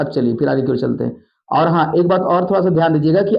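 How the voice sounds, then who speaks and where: The man speaks with ordinary pitch variation. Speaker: maths teacher. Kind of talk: tutorial. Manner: fast, repetitive.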